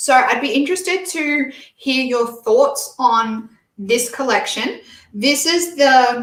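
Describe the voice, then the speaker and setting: This woman has a strong Australian accent and a high pitch. She speaks at a very slow pace. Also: ordinary pitch variation. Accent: broad Australian. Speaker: beauty reviewer. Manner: casual, hesitant with fillers.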